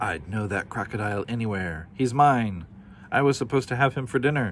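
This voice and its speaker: A man's put-on, hissing character voice at medium pitch, fairly quick with lively intonation, against clear background noise. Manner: hissing, accusatory.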